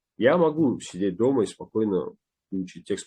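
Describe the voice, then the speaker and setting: A man's fairly low-pitched voice, dark and mellow in tone, with lively intonation. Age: young. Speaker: actor. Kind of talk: interview. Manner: halting.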